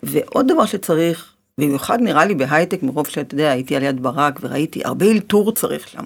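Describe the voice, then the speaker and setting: A woman talks fast with hardly any pauses, her very deep, low voice carrying lively intonation. The recording is very clean, with a silent background. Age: middle-aged. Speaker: life coach and podcast host. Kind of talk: interview.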